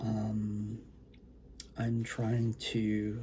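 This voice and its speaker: Very slowly, a man speaks in a fairly low pitch with a dark, mellow tone and a somewhat breathy quality. Audible room echo surrounds his voice. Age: old. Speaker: poet and author. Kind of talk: casual talk to camera before poetry reading. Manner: soft-spoken; hesitant, many fillers.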